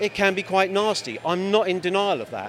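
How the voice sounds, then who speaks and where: A man with an English accent and a high pitch speaks at a moderate pace over noticeable background noise. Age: 60s. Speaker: street interviewee at a protest. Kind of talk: street interview. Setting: outdoors at a demonstration.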